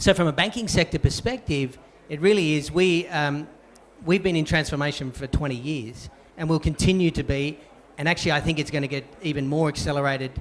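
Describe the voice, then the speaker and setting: Speaking with an Australian accent, a man talks at a fairly quick pace with a fairly high pitch and ordinary pitch variation. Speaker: banking executive. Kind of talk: panel discussion.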